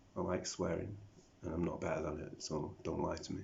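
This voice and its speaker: With a British accent, a man speaks at a fairly quick pace amid audible room echo. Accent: British accent developed over South African. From South Africa. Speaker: vlogger. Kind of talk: video diary monologue. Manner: rambling, self-talking.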